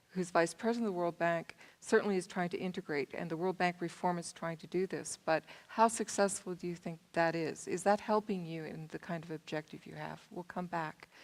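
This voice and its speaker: In an American accent, a woman talks with a normal speaking voice at fairly low pitch. Her pace is fairly quick and her intonation fairly even. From US Southern California. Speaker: panel moderator. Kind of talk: panel moderation.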